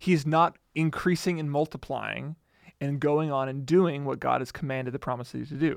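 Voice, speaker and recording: On a very clean recording with a silent background, a man uses an ordinary speaking voice, fairly high in pitch, moving at a fairly quick pace with fairly even intonation. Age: 30s. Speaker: podcast co-host, Bible teacher. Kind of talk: casual Bible study discussion.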